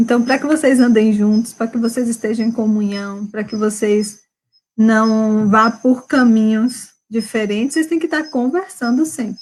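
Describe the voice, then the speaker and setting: A soft-spoken, somewhat breathy woman at a fairly slow pace. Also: fairly high pitch for a woman, ordinary pitch variation. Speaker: marriage advice live host. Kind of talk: casual live chat with couple advice. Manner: speaking softly.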